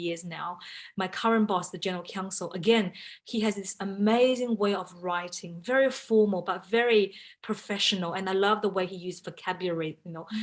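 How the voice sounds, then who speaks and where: With a Chinese accent, a woman of medium pitch speaks at a fairly quick pace, her intonation fairly even but her loudness swinging widely. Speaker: in-house lawyer. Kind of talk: panel talk.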